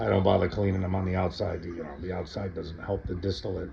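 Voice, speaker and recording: A man is speaking. Music plays in the background. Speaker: hobby moonshine distiller and reviewer. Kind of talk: casual tutorial to camera. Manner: stutters at times; casual, rambling with fillers.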